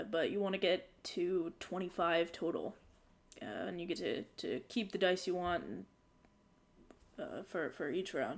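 A woman puts on a raspy character voice at a medium pitch. Her intonation stays fairly even. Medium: actual play. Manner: gruff, dismissive.

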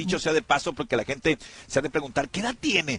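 Recorded with a dry, close sound and no echo, a man with a fairly high pitch speaks in an animated tone at a fairly quick pace. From Sinaloa, Mexico. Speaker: radio host. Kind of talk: casual radio talk.

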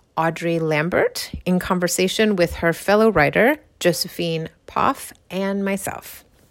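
At a fairly slow pace, a woman speaks with a warm, enthusiastic tone. Her pitch is medium, with ordinary variation. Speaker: podcast host and program founder. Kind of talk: casual interview conversation. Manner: warm, encouraging, enthusiastic.

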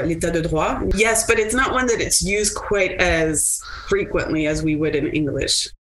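A woman speaks at a moderate pace with a slight French Canadian accent. Noticeable background noise runs under her voice. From Quebec, Montreal. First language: French and Italian. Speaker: lawyer. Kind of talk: interview.

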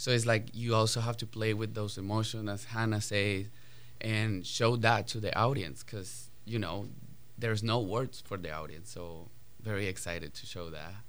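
A man speaks with a Spanish accent at a moderate pace. His pitch is fairly low, with ordinary variation. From Colombia. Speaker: ballet dancer. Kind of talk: radio interview.

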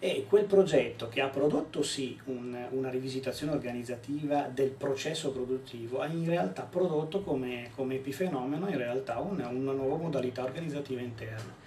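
A man with a medium-pitched voice speaks at a fairly quick clip with hardly any pauses and ordinary pitch variation, over noticeable background noise and audible room echo. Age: 30s. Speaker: organizational development consultant. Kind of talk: casual chat. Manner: halting.

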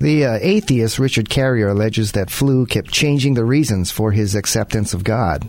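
This is a normal speaking voice at a moderate pace, with very even loudness, ordinary pitch variation and hardly any pauses. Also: man, medium pitch for a man. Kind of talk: interview.

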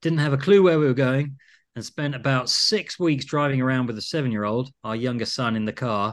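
This man has an unremarkable speaking voice at medium pitch, with ordinary pitch variation. He talks at a fairly quick pace against a quiet background. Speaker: production designer. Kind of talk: casual interview chat.

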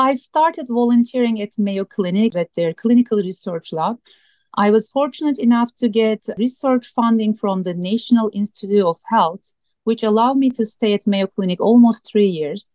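Recorded with a dry, close sound and no echo, a woman with a Turkish accent and a dark, mellow tone has a fairly high pitch, ordinary pitch variation and a moderate pace. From Turkey. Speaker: sleep medicine doctor. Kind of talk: radio interview.

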